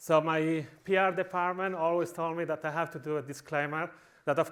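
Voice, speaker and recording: His pitch sits fairly high. The man talks with a Spanish accent. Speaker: conference speaker. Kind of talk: conference talk. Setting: stage with audience. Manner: animated.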